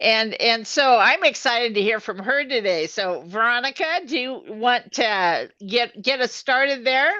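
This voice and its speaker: A woman reads at a fairly slow pace, with hardly any pauses, in a high pitch with a bright, sharp tone. Her intonation is lively, and the background is quiet. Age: 70s. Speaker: co-host of a women's health live show. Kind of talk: live video chat. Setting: live stream.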